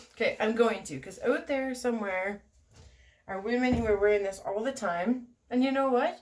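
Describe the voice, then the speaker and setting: Her tone is animated and her pitch fairly high, with ordinary variation. The woman keeps a moderate pace. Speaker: product reviewer vlogger. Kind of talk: casual vlog review. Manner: casual, animated.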